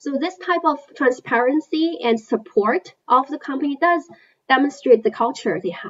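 A woman with a high pitch speaks in a Chinese accent, her intonation lively and her loudness swinging widely. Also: moderate pace. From China. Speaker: investment analyst. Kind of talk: interview.

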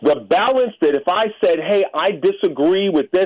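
With an American accent, a man speaks at a high pitch with very wide pitch swings. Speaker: caller. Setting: phone call.

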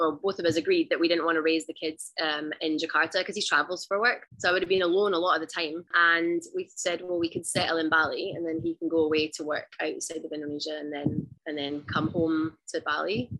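With a west of Scotland accent, a woman with a fairly low pitch and a bright, sharp tone talks at a fairly quick pace with hardly any pauses. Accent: west of Scotland Scottish. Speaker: stay-at-home mom and outdoor adventurer. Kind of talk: casual interview chat.

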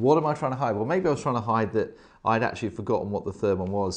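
At a very fast pace, a man talks with lively intonation and medium pitch over a quiet background. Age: 40s. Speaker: leadership coach. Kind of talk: casual chat.

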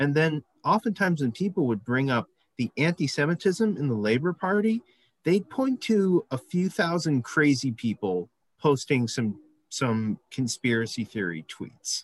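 Swinging very widely in pitch from a fairly high base, a man talks at a moderate pace, the sound dry and close with no echo over a quiet background. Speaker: audience member. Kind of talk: audience question. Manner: halting.

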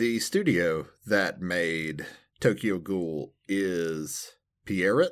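In a very clean recording with a silent background, a man with an American accent speaks at a very slow pace with a very deep, low pitch. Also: ordinary pitch variation. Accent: regional American. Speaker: anime podcast co-host. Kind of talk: casual chat.

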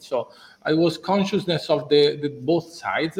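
This is a man's voice. He speaks with an Italian accent. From Italy. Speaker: business executive. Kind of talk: interview. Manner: halting.

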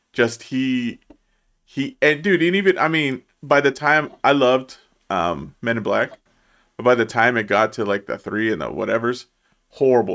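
On a very clean recording with a silent background, a man with an ordinary speaking voice talks at a medium pitch and a moderate pace with ordinary pitch variation. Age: 30s. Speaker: movie podcast co-host. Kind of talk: casual chat.

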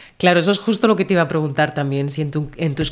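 The woman's voice sits at a very deep, low pitch. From Murcia, southeastern Spain. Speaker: Spanish teacher, podcast co-host. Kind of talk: casual interview conversation; scripted intro.

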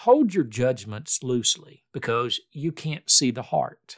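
A man's calm tone at a fairly slow pace, with very wide pitch swings. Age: 60s. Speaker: podcast host. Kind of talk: solo reflective monologue on faith. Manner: calm, conversational.

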